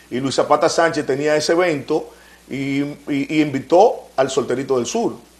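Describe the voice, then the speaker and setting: A man talks at a moderate pace. His voice is fairly high in pitch. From Dominican Republic, Santo Domingo east (Los Minas). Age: 50s. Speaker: radio and TV announcer, former merengue band manager. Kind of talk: interview. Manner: animated.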